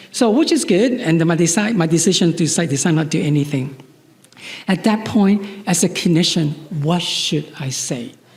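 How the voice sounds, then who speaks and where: The speech moves at a moderate pace with ordinary pitch variation. Noticeable background noise and audible room echo surround it. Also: man, high pitch for a man. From Chinese heritage. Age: 60s. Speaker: psychologist. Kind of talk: lecture. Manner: halting, with repetitions.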